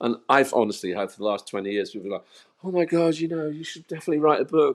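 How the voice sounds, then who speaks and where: Speaking very fast with an English accent, a man uses a fairly high pitch and very wide pitch swings. The recording is very clean, with a silent background. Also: big swings in loudness. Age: 60s. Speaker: musician and author. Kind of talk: interview. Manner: halting, many repetitions.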